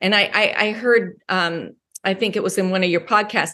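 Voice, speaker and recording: A woman speaks at a medium pitch and moderate pace, in a normal speaking voice. Her pitch varies in an ordinary way over a quiet background. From Wyoming and Colorado. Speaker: mindset coach. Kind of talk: interview.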